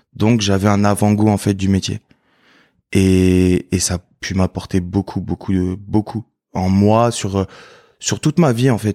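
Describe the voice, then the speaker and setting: On a very clean recording with a silent background and a dry, close sound with no echo, a man speaks fairly slowly in a fairly low, dark, mellow voice with monotone, flat intonation. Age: 20s. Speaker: former navy serviceman, supermarket worker. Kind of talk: testimony interview.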